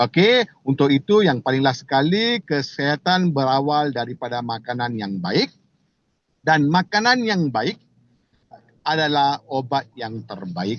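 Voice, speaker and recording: This man's fairly high voice moves through very wide pitch swings, and he speaks with a non-native accent. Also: fairly slow pace. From Malaysia. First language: not Indonesian (speaking Indonesian). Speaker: company director presenting products. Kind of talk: product presentation. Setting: video call. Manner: halting, many fillers.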